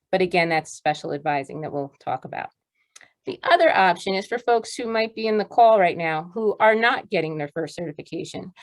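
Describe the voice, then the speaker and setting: In a dry, close sound with no echo, a woman at medium pitch speaks fairly quickly with lively intonation. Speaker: education school faculty presenter. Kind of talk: webinar presentation. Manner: fast.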